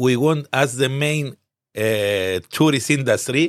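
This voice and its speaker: A man with a Cypriot accent at a medium pitch, ordinary pitch variation, a very slow pace, and a dry, close sound with no echo. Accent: Greek Cypriot. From Cyprus, Limassol. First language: Greek. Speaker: business association founder. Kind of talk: interview. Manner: halting.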